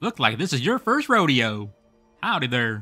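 Faint music plays behind a man doing a put-on character voice at a medium pitch. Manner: bad impression.

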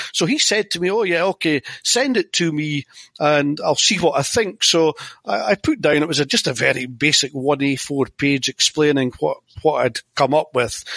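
Speaking at a moderate pace with a strong Scottish accent, a man has a fairly high pitch, ordinary pitch variation and a bright, sharp tone, captured with a dry, close sound and no echo. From Scotland. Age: 50s. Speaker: tennis format inventor. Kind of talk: interview.

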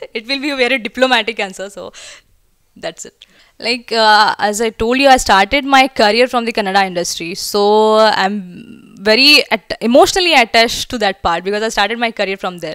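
A woman's fairly high, bright, sharp voice in a Marathi Indian accent, with big swings in loudness, ordinary pitch variation and a fairly quick pace, dry with no echo over a quiet background. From India, Pune (Maharashtra); Maharashtra. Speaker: film actress. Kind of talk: promotional interview. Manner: hesitant, frequent fillers. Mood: relaxed, chatty. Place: home room. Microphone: handheld.

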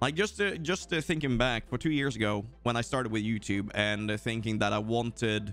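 With a Swedish accent, a man speaks at a fairly quick pace with hardly any pauses, a medium pitch, and ordinary pitch variation. His loudness stays very even, and music plays in the background. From Sweden. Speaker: gaming streamer. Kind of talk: live stream chat.

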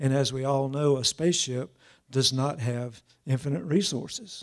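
Somewhat breathy, a man speaks at a moderate pace with ordinary pitch variation against a quiet background. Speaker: keynote speaker. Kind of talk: lecture. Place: hall. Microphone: podium.

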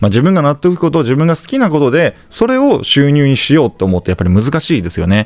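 A man's very fast delivery with very wide pitch swings and hardly any pauses. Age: 30s. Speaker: real estate investor and YouTuber. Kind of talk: monologue to camera, informal lecture. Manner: polite, conversational with filler words.

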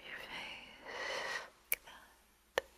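Speech from a woman comes very slowly. She is whispering. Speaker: relaxation content creator. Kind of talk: soft guided relaxation talk. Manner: soft, hushed ASMR voice. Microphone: studio mic.

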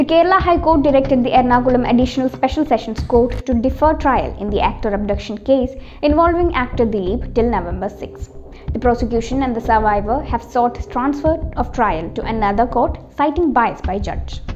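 A woman talks at a fairly quick pace in a high voice, with light background noise. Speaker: news presenter. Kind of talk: news bulletin reading. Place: office.

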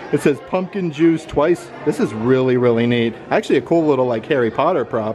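A man talking at a fairly quick pace with hardly any pauses, faint music in the background. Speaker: vlogger. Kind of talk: casual vlog chat, merchandise tour. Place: shop.

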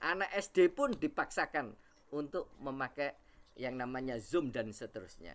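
Here is an ordinary speaking voice, belonging to a man. He talks at a fairly slow pace with lively intonation. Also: fairly high pitch for a man. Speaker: university lecturer. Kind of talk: webinar presentation. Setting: video call. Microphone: video call.

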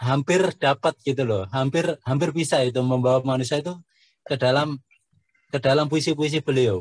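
Fairly high-pitched for a man and somewhat breathy, his voice moves at a moderate pace in a dry recording with no echo. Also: quiet background. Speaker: poetry community founder. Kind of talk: book discussion talk. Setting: video call. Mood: friendly, cheerful. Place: home room. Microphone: video call.

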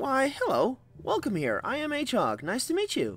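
A high-pitched put-on character voice at a moderate pace. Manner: cheerful, goofy, easily pushed around.

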